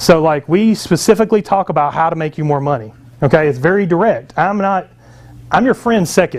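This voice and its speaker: A man speaks at a fairly quick pace with a high pitch. His intonation is lively. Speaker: book publishing coach and marketer. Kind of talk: sales pitch. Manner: fast; casual, many filler words.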